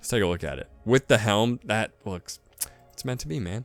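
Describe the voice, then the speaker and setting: Over background music, a man talks fairly quickly at a medium pitch with ordinary pitch variation. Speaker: gaming youtuber. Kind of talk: casual game showcase commentary. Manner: fast; animated.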